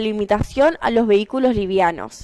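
With lively intonation, a woman delivers her words fairly slowly. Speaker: news presenter. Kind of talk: news reading.

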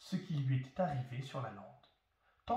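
The reading voice is unforced, and its pitch varies in an ordinary way.

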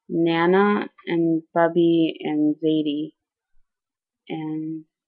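A woman's fairly low, monotone, flat delivery in a Connecticut accent at a very slow pace. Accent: Southern Connecticut. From Southern Connecticut, USA. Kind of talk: casual talk to camera, dialect survey reading.

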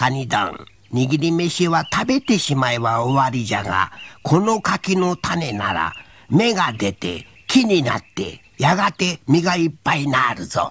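In a put-on character voice, the speaker goes at a fairly slow pace with a low-to-middle pitch. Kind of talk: folk tale character acting. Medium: read story. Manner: sly, wheedling, mocking.

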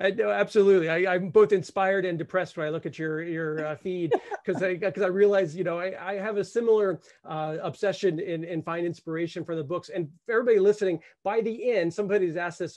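Against a quiet background, a high-pitched man speaks at a very fast pace with fairly even intonation. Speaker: director of a photography academy; host, interviewer. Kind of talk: live webinar host. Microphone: studio mic.

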